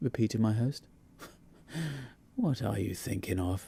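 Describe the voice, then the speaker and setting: Moving at a moderate pace, a man's somewhat breathy voice has a dark, mellow tone and very wide pitch swings. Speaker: audiobook narrator. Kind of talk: audiobook ghost story reading.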